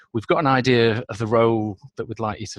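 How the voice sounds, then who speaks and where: A man's medium-pitched voice with a northern English accent, on a very clean recording with a silent background and a dry, close sound with no echo. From northern England. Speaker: business consultant. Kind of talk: interview.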